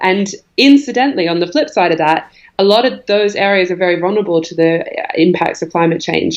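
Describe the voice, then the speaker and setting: A woman with a slight Australian accent talks very fast at a fairly low pitch, her pitch varying in an ordinary way. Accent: faint Australian. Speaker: environmental organisation executive. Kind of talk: podcast interview.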